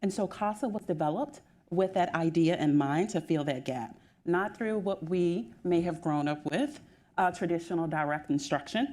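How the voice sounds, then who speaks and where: A woman speaks with a Southern US accent in a dark, mellow tone at a fairly low pitch. Her pace is moderate and her intonation is lively. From US South. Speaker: school district administrator. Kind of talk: panel discussion.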